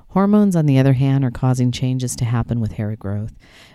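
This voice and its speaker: A woman speaks with a very deep, low pitch and a dark, mellow tone. The recording is very clean, with a silent background. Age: 50s. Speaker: podcast host on aging and elder care. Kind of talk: solo podcast monologue.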